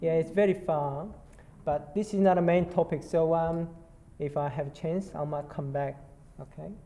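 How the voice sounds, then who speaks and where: The speaker has a Korean accent. The pace is moderate. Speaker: nurse clinician. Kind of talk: conference presentation. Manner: halting, many fillers.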